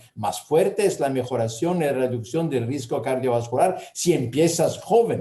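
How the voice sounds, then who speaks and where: A man with an Italian accent and a fairly high pitch speaks at a fairly slow pace with hardly any pauses, using lively intonation in a somewhat breathy voice. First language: Italian (speaking Spanish). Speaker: gynecological endocrinology professor. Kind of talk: lecture Q&A answers. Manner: halting.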